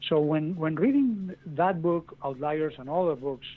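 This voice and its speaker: In a Castilian accent, a man talks at a fairly high pitch and a fairly slow pace. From Spain. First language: Spanish. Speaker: author. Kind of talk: podcast interview. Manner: halting, with repeated words.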